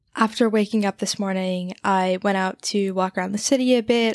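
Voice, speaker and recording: On a very clean recording with a silent background and a dry, close sound with no echo, a woman speaks at medium pitch and a moderate pace with fairly even intonation. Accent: American. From New Jersey. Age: 20s. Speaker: podcast host. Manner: monotone.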